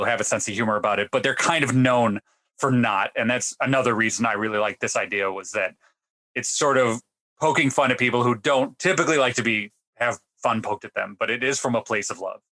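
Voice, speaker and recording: The sound is dry and close with no echo as a man talks very fast at a medium pitch, his tone bright and sharp and his pitch variation ordinary. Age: 30s. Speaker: podcast host. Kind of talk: casual interview chat.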